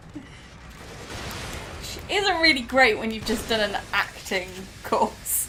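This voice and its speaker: Over noticeable background noise and audible room echo, a woman speaks at a very slow pace with a fairly high pitch. Her pitch swings very widely, and her loudness shifts a lot. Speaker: host's sister, co-player. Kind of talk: casual chat.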